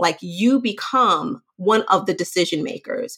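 A woman's plain, everyday voice, fairly slow, with ordinary pitch variation. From Brooklyn, New York. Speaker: leadership career coach. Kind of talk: interview.

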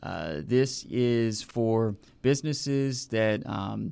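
The voice has a dark, mellow tone, ordinary pitch variation and an American accent. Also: man. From Northern Virginia. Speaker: community development nonprofit director. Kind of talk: interview. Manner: many filler words and hesitations.

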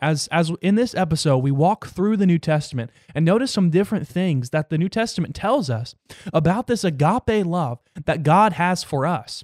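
In a dry, close sound with no echo, a man talks at a moderate pace. His high-pitched voice has lively intonation and an animated tone. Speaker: Bible podcast host. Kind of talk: Bible teaching. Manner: halting.

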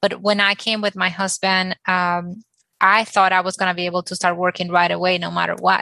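In a Spanish accent, a woman with a medium pitch and a bright, sharp tone talks at a fairly quick pace with monotone, flat intonation, the sound dry and close with no echo against a quiet background. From Dominican Republic. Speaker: architect. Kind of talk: panel discussion.

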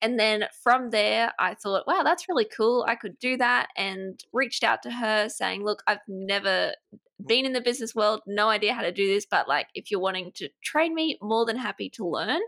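With an Australian accent, a woman with a fairly high pitch speaks at a moderate pace with lively intonation, the sound dry and close with no echo. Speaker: business coach and agency owner. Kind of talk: casual interview chat.

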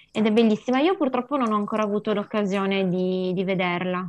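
A woman's ordinary speaking voice, fairly high in pitch, with lively intonation. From Piedmont, Italy (Mondovì area), Sri Lankan parents. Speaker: amateur theatre member. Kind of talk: casual chat.

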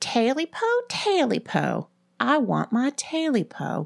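In a whiny put-on character voice, a woman speaks at a very slow pace. The recording is very clean, with a silent background. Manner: whining.

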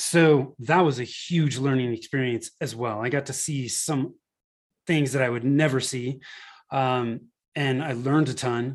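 With an American accent, a man talks at a fairly slow pace in an unremarkable speaking voice. His pitch is medium, and his intonation is fairly even. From Northern California. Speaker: marketing agency founder. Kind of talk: interview.

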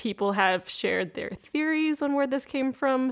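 A woman with a plain, everyday voice at a fairly quick pace, with ordinary pitch variation. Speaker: podcast co-host. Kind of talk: casual podcast conversation. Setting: video call.

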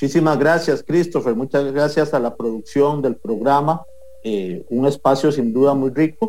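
Music plays in the background as a man speaks at a fairly slow pace. His pitch is fairly high, with ordinary variation. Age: 30s. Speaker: political candidate. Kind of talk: interview.

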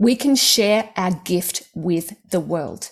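A woman is speaking. She talks with an Australian accent. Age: 50s. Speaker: stock trading author and mentor. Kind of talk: casual interview chat. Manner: animated.

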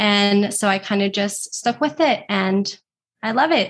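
With a plain, everyday voice, a woman speaks at a medium pitch with ordinary pitch variation against a quiet background. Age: 20s. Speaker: social media manager and entrepreneur. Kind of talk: interview.

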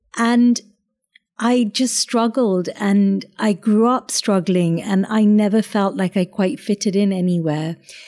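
In a British accent, a woman speaks at a very slow pace with a dark, mellow tone and fairly even intonation on a very clean recording with a silent background. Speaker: chef and restaurant owner. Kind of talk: casual interview chat. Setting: restaurant.

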